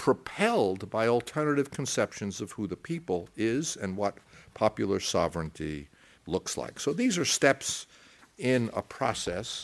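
A man's voice with very wide pitch swings on a very clean recording with a silent background. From United States. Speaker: academic lecturer. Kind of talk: lecture. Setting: stage with audience. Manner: halting.

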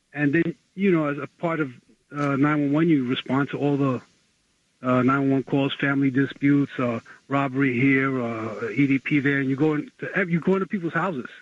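A man talks at a moderate pace with a medium pitch and fairly even intonation. The sound is dry and close, with no echo.

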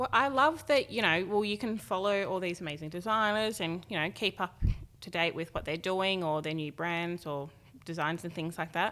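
With an Australian accent, the speaker has a bright, sharp tone, ordinary pitch variation, and a moderate pace, recorded very cleanly against a silent background. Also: woman, fairly low pitch for a woman. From Australia, Gold Coast / Tweed Heads. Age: 20s. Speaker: fashion model. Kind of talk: casual chat. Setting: studio.

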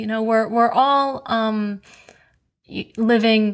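Recorded very cleanly over a silent background, a woman speaks at a fairly slow pace with a fairly high pitch and fairly even intonation. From US, New York (Queens). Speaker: podcast host. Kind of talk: interview; scripted announcement.

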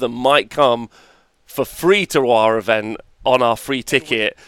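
A man talks with an English accent. The sound is dry and close, with no echo. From England. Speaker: tabletop wargaming tournament player and commentator. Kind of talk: casual chat. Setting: livestream.

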